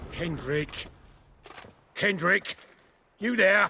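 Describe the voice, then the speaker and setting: Putting on a character voice, a man speaks at a high pitch. The sound is raspy. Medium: video game. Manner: nervous, stammering.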